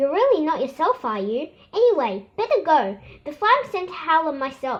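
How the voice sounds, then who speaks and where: Putting on a character voice, a woman speaks in a squeaky, extremely high pitch. Her pitch swings very widely at a moderate pace. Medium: read story.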